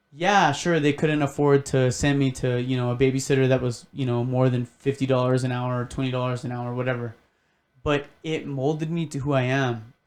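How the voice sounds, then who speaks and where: Fairly quick and fairly even in intonation, a man with an American accent and an unremarkable speaking voice talks at a medium pitch. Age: 20s. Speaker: podcast guest. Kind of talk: casual chat.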